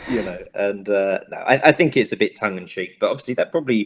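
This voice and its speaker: A man with a London accent talks at a very fast pace. His pitch variation is ordinary. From Southeast London. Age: 20s. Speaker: actor. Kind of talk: interview. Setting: video call.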